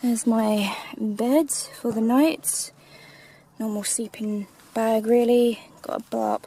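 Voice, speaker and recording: A woman's fairly high voice with an English accent, very slow delivery, fairly even intonation, and noticeable background noise. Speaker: vlogger. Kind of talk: casual vlog narration. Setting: outdoors in woodland.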